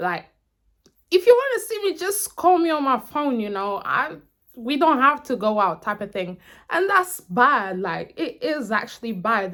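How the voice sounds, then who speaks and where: A woman speaks at a fairly slow pace with very wide pitch swings on a very clean recording with a silent background. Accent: American. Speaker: YouTuber. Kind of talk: casual Q&A vlog.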